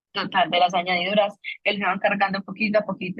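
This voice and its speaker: A medium-pitched woman's voice at a very fast pace. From Colombia. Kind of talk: faith testimony conversation.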